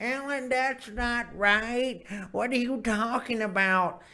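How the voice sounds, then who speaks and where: A female-sounding voice puts on a character voice, high in pitch and fairly slow in pace. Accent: Texas. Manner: grumpy, disagreeing.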